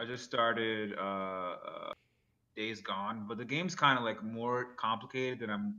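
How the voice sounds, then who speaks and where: With a plain, everyday voice, a man speaks fairly slowly at a medium pitch. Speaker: podcast co-host. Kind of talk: casual chat.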